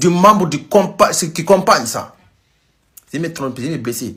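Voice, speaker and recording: Lively intonation marks this man's fairly slow delivery. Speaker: news commentary vlogger. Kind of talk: casual news commentary. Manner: halting, self-correcting.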